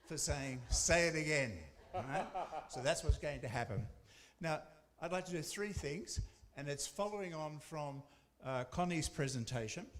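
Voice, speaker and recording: Speaking in an Australian accent with long, frequent pauses, a man with a fairly high pitch and ordinary pitch variation is heard through audible room echo. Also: moderate pace. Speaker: academic researcher. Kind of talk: conference presentation.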